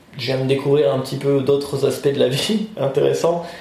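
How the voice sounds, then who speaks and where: Amid noticeable background noise and audible room echo, a man speaks at a moderate pace. His pitch is fairly high and his intonation fairly even. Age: 30s. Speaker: interviewee, job seeker. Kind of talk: interview. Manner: halting.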